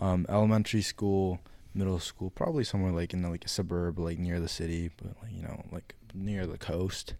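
A man with an American accent, very deep and low in pitch, at a fairly quick pace with fairly even intonation, in a very clean recording over a silent background. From California. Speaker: college student podcast co-host. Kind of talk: casual chat.

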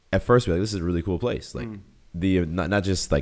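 Speaking at a very fast pace with an American accent, a man uses a very deep, low pitch with ordinary pitch variation. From US Northeast (Boston). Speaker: YouTuber and entrepreneur. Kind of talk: casual interview chat.

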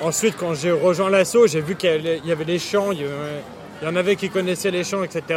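A man with a high pitch, fairly even intonation and hardly any pauses, over noticeable background noise. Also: moderate pace. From France, Paris region. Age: 20s. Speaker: football supporter. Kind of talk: casual interview. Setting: motorway service area.

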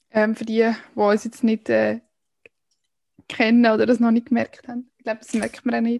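Fairly high-pitched woman's voice at a moderate pace, with long, frequent pauses and a dry, close sound free of echo. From Switzerland, canton Aargau. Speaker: podcast co-host. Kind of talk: casual chat.

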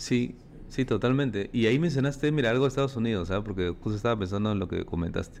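A man with a Peruvian accent talks at a very fast pace. His pitch is medium, with ordinary variation. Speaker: podcast host. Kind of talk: interview.

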